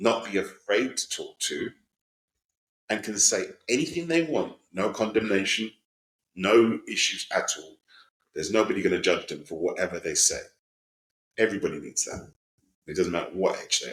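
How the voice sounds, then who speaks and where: A man at a moderate pace, with long, frequent pauses and big swings in loudness. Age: 60s. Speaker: volunteer mentor. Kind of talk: panel discussion.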